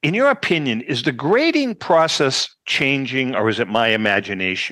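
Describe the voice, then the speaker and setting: A man with a Boston accent speaks at a moderate pace in a medium pitch, his bright, sharp tone swinging very widely up and down. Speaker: podcast host. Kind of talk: casual chat.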